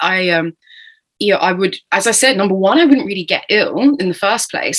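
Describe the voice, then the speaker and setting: This woman has a British accent and a medium pitch. Her voice swings very widely in pitch. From Britain. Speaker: entrepreneur, burnout survivor. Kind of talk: podcast interview.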